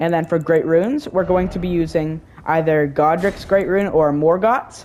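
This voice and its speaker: The speaker is a woman with a fairly low pitch. She talks at a fairly slow pace. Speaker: gaming video creator. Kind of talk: tutorial. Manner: halting, many fillers; casual.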